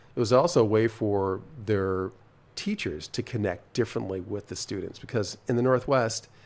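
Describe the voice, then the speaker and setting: With ordinary pitch variation, a plain, everyday voice talks at a moderate speed. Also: man, fairly low pitch for a man. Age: 60s. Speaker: cycling program founder. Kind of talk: casual chat.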